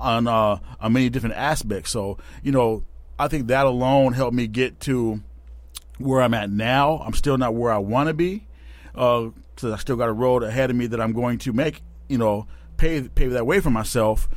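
A man with an unremarkable speaking voice talks in an American accent at medium pitch. His pace is moderate and his pitch varies in an ordinary way. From Tacoma, Washington, US. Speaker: car salesman. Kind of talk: casual chat.

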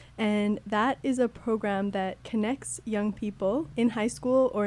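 A woman with a Canadian accent, a fairly high pitch, a dark, mellow tone, fairly even intonation, and a moderate pace. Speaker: youth engagement coordinator. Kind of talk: radio interview.

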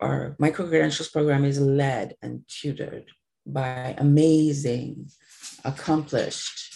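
Somewhat breathy and very deep in pitch, a woman's dark, mellow voice moves at a fairly slow pace. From Trinidad. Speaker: media company founder. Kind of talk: interview. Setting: remote recording at home.

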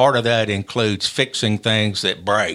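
In a very clean recording with a silent background, a man with a Tennessee accent talks at a fairly slow pace in a medium pitch and a bright, sharp tone. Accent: Southern US (Tennessee). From Middle Tennessee (Maury County). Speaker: NASA engineer and executive. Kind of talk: interview. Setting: studio.

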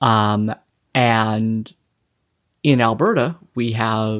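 A man in a Canadian accent, with ordinary pitch variation. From Saskatchewan, Canada. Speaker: political campaign manager. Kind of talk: casual interview chat.

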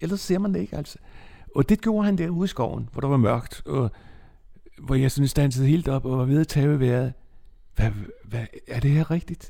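A man with a fairly high-pitched, somewhat breathy voice in a dark, mellow tone, with lively intonation at a moderate pace. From Bornholm, Denmark (Nexø). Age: 70s. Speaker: interviewee telling life story. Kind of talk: life story interview. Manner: halting.

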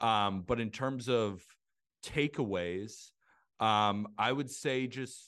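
Against a quiet background, a man speaks with an American accent in an ordinary speaking voice. His pitch is fairly low, with ordinary variation. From Santa Barbara, California. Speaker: baseball content creator and writer. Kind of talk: casual interview chat.

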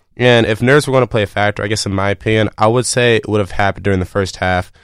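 A man's fairly low voice at a very fast pace, fairly even in intonation, with a dry, close sound free of echo over a silent background in a very clean recording. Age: 20s. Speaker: college radio sports co-host. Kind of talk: sports talk show. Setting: studio.

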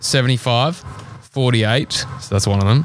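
A man of medium pitch talks with an Australian accent. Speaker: co-host.

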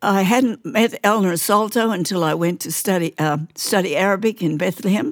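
A woman with an Australian accent, hardly any pauses, and ordinary pitch variation. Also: medium pitch for a woman, moderate pace. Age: 80s+. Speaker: missionary nurse. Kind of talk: interview testimony. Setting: studio. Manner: loud.

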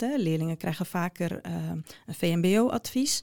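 A woman's fairly low voice with lively intonation, dry and close with no echo. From Netherlands, Groningen. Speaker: education researcher and lecturer. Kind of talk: interview. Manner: hesitant with many fillers.

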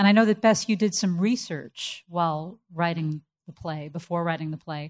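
A woman with an ordinary speaking voice talks at a moderate pace, her fairly low pitch moving with ordinary variation, on a very clean recording with a silent background. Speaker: podcast host. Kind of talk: live panel interview. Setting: live event with audience.

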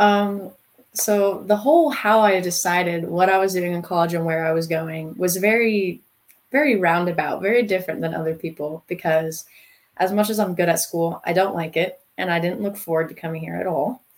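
This woman has an unremarkable speaking voice, fairly low in pitch, with an American accent. She talks at a moderate pace with ordinary pitch variation. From North Carolina. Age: young. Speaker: college student and CrossFit athlete. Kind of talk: interview.

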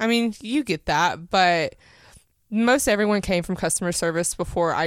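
A woman with an East Tennessee accent, lively intonation and a moderate pace, on a very clean recording with a silent background. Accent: East Tennessee Southern. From East Tennessee (Powell, near Knoxville). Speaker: cannabis shop owner. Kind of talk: casual interview chat. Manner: hesitant with many fillers.

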